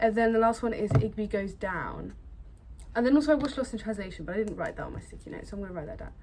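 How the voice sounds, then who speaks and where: A woman talks in a fairly high, somewhat breathy voice. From Britain. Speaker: film vlogger. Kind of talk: casual vlog chat. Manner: casual, hesitant with fillers.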